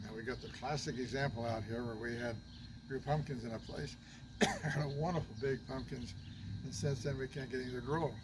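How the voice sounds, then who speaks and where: With noticeable background noise and audible room echo, a man at medium pitch talks at a fairly quick pace with fairly even intonation. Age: 80s+. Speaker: retired grandparent sharing gardening tips. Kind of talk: casual chat.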